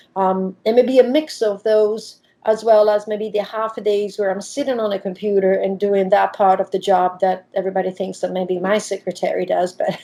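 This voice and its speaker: The speaker is a woman at a moderate pace. She has an Italian accent. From Italy. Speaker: diving professional and nonprofit founder. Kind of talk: interview.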